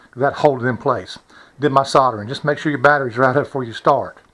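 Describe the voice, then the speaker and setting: A man with a bright, sharp tone and fairly high pitch, at a moderate pace. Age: 60s. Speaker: hobbyist video maker. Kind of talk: casual tutorial. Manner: hesitant, many fillers.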